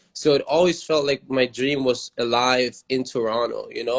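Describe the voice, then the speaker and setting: In a German accent, a man speaks at a moderate pace and medium pitch with fairly even intonation, the sound dry and close with no echo. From Germany. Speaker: rapper. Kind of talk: interview.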